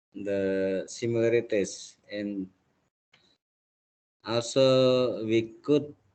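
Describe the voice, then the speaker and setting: A man talking at a very slow pace, with long, frequent pauses. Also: medium pitch for a man, fairly even intonation. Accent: Indonesian. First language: Indonesian. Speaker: university lecturer. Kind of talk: lecture.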